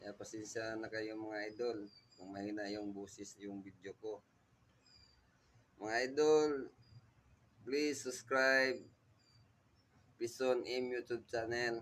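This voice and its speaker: Very slow, fairly even speech from a man at medium pitch, with big swings in loudness and long, frequent pauses. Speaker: vlogger. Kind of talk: casual vlog talk. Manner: soft-spoken.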